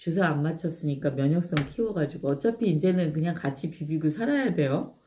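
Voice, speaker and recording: The voice has a dark, mellow tone, lively intonation and a moderate pace. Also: woman. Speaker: live-stream host promoting products. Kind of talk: casual live-stream chat with product demo.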